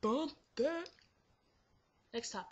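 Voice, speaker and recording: The delivery is fairly unhurried. There is a somewhat breathy quality to the voice. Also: woman. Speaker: vlogger. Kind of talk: casual vlog monologue.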